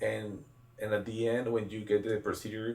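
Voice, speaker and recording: A man with a Spanish accent, somewhat breathy, medium-pitched, at a moderate pace. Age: 20s. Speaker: clinic CEO. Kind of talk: interview.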